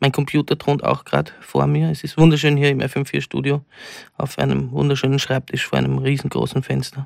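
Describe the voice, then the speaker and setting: The voice has a Viennese accent and a dry, close sound with no echo. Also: man, moderate pace. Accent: Viennese Austrian German. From Austria, Vienna-Meidling and Lower Austria. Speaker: comedian and DJ. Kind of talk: comedy performance with DJ set. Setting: radio studio.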